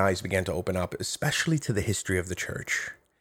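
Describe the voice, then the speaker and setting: Over a silent background in a very clean recording, a man speaks at a fairly quick pace with very wide pitch swings. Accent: New York. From New York City, Brooklyn. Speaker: professor. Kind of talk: interview.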